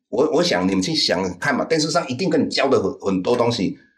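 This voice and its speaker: Fairly quick speech from a man with vocal fry and very wide pitch swings. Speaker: investment teacher. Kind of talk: interview. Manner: halting.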